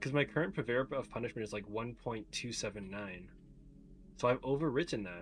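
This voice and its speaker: At a fairly quick pace, a man speaks with vocal fry. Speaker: gaming streamer. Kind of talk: casual livestream chat. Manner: casual, filler-heavy.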